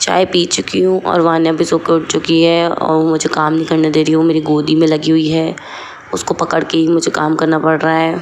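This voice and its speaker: A woman speaks fairly slowly at a fairly low pitch. Noticeable background noise is present. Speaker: vlogger, mother. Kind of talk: casual daily vlog.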